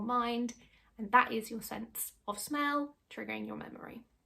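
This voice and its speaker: In a British accent, a woman speaks at a moderate pace. Her pitch is fairly high, with ordinary variation. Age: 30s. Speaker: YouTuber and former secondary school teacher. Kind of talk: casual tutorial.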